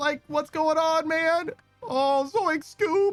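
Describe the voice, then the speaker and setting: With music in the background, a woman drawls very slowly in a put-on character voice pitched extremely high. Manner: loose, drawling, goofy.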